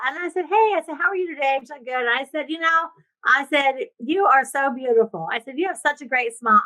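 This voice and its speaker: A woman uses a raised, projected voice in a high pitch with a bright, sharp tone. She sounds animated and speaks at a fairly quick pace. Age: 60s. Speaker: real estate investor and coach. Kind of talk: podcast interview.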